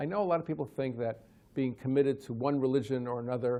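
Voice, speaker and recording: Someone with an American accent talks at a very fast pace, using ordinary pitch variation. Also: man. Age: 60s. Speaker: professor. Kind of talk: direct-to-camera talk.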